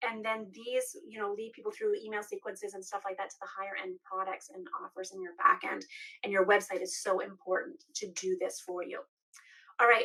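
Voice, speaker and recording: Talking at a fairly quick pace, a woman with a medium pitch and a bright, sharp tone shows big swings in loudness and ordinary pitch variation. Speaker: business coach. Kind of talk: live stream tutorial. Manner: fast; casual, filler-heavy.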